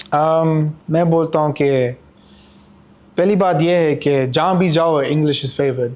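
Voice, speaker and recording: Keeping very even loudness, a man talks at a fairly high pitch with fairly even intonation. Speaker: interview guest. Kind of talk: casual interview chat. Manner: halting, mixes English and Urdu.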